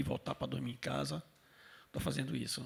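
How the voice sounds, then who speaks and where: A man speaks at a moderate pace. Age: 60s. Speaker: stage technician. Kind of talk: panel discussion.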